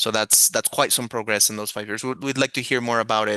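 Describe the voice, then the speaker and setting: Against a quiet background, a man with a non-native accent speaks at a medium pitch in a bright, sharp tone, the sound dry and close with no echo. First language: not English. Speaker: moderator. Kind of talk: panel moderation. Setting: video call.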